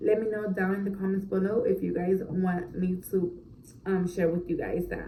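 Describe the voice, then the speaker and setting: Both audible room echo and noticeable background noise fill the clip. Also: woman. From Orlando, Florida, Puerto Rican family. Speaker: mom vlogger. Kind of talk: casual Q&A chat to camera. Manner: casual, filler-heavy.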